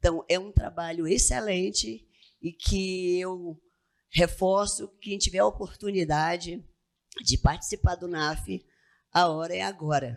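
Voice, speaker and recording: Loudness swings widely as a woman with a fairly low voice and ordinary pitch variation speaks at a fairly slow pace. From Amazonas, Brazil. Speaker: tax auditor. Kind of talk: lecture.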